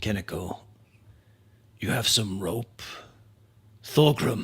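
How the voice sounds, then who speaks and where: A man uses a raspy, put-on character voice at a medium pitch. He speaks very slowly. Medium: actual play. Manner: measured, cautious.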